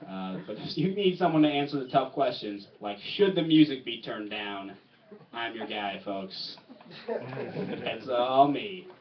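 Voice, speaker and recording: Speaking fairly slowly at a medium pitch, a man makes very wide pitch swings and big swings in loudness amid noticeable background noise. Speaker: stand-up comedian. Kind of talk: stand-up. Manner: stuttering today.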